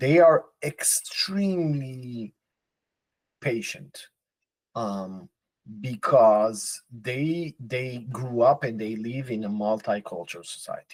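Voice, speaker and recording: Speaking very slowly with a non-native accent, a man at a medium pitch uses lively intonation and big swings in loudness, the sound dry and close with no echo. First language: not English. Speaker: podcast co-host. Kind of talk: casual chat.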